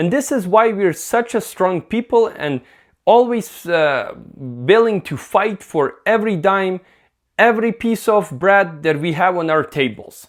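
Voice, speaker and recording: In a very clean recording with a silent background, a man with a Ukrainian accent and a high pitch talks at a fairly slow pace with lively intonation. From Ukraine. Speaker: vlogger. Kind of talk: casual vlog monologue. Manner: halting, frequent fillers.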